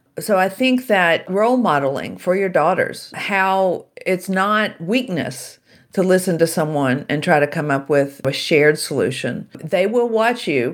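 A woman's unremarkable speaking voice with an American accent, medium in pitch, with lively intonation, very even loudness, a fairly slow pace and hardly any pauses, on a very clean recording with a silent background. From US South, Shreveport, Louisiana. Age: 60s. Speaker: author and keynote speaker. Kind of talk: interview.

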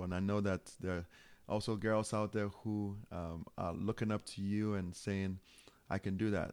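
A man with a Ghanaian accent, fairly low pitch, flat monotone delivery and fairly slow pace, in a very clean recording with a silent background. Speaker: charity founder and minister. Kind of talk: interview. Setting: home studio.

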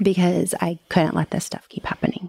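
The delivery is monotone and flat, in a dry, close sound with no echo. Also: woman. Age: 40s. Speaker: podcaster sharing divorce story. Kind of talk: interview testimony.

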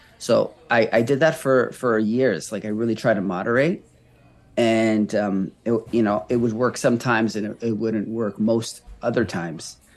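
A man with a Canadian accent talks at a moderate pace and medium pitch. His pitch varies in an ordinary way, with music in the background. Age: 30s. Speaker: recovery coach and marathon runner. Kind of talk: casual interview conversation.

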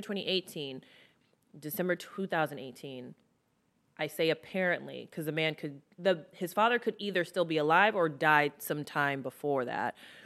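A woman with a normal speaking voice talks at a moderate pace, her intonation lively. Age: 30s. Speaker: makeup artist and beauty influencer. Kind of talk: casual chat.

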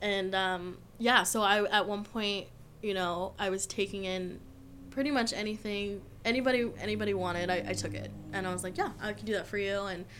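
A woman with an American accent and a medium pitch talks at a moderate pace with fairly even intonation, and the room echo is audible. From Southern California (Orange County). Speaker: tattoo artist. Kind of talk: casual chat.

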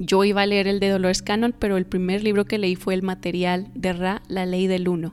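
In a northern Mexican accent, a woman speaks at a fairly quick pace with medium pitch, very even loudness, monotone, flat intonation and hardly any pauses. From northern Mexico (Torreón). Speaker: spiritual podcaster. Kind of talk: personal storytelling monologue. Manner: casual, hesitant with fillers.

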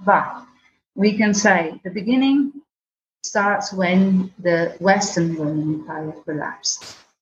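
Her voice is medium in pitch and somewhat breathy, and the woman speaks at a fairly slow pace. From Venice, Italy. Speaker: tour guide. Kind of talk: interview. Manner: halting.

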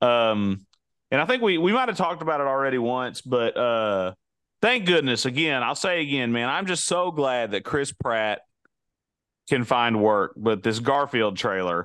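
A man with a normal speaking voice delivers his words at a moderate pace and medium pitch, his intonation lively. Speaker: podcast co-host. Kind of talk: casual chat. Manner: laughs often, teasing.

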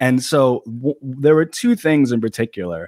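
A man with a New York accent speaks in a very clean recording with a silent background, the sound dry and close with no echo. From Long Island, New York. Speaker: YouTuber and political writer. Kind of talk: casual interview.

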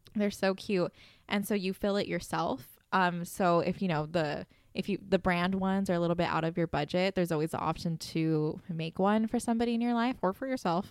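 At a fairly quick pace, an ordinary speaking voice comes through in a very clean recording with a silent background. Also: woman, medium pitch for a woman, ordinary pitch variation. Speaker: podcast host. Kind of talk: casual chat.

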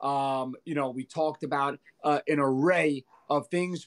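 At a fairly slow pace, a man speaks in a normal speaking voice. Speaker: podcast host. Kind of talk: casual chat.

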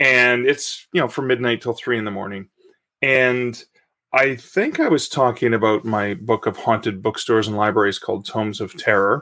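Speaking with a Canadian accent, a man uses a bright, sharp tone at medium pitch, with ordinary pitch variation and a moderate pace. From Canada. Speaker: author. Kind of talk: casual interview chat.

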